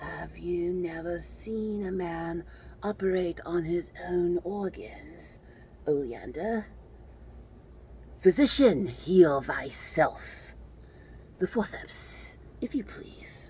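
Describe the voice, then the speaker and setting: A raspy, put-on character voice at a middle pitch speaks at a very slow pace with long, frequent pauses over clear background noise. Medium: read story. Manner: cold, clinical, detached.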